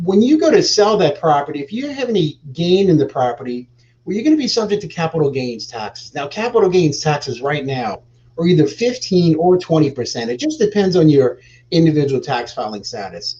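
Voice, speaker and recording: Fairly high-pitched with a dark, mellow tone, a man with an American accent talks at a fairly quick pace and swings his pitch very widely. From New Orleans, US South. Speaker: real estate exchange specialist. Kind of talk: interview on a live show. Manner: hesitant fillers.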